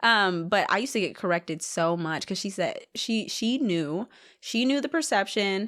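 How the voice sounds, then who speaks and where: A woman with an American accent speaks at a medium pitch in an animated tone with lively intonation, on a very clean recording with a silent background. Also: moderate pace. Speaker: reality TV contestant. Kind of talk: casual interview chat.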